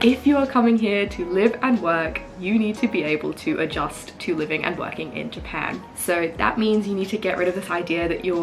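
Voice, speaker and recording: A woman with an Australian accent, medium pitch and lively intonation, with music in the background. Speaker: English teacher and YouTuber. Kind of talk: casual vlog advice talk. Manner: animated.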